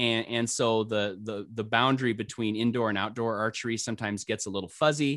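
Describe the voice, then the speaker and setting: There is a quiet background as a man with an American accent talks at a fairly quick pace in a medium pitch, using an ordinary speaking voice. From US Midwest, northwest Iowa. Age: 50s. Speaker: retired school technology director and archer. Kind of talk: casual interview.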